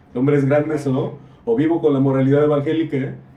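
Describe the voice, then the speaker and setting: A man with a fairly high pitch and a dark, mellow tone talks at a fairly quick pace. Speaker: visual artist. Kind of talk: casual discussion. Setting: library. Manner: halting.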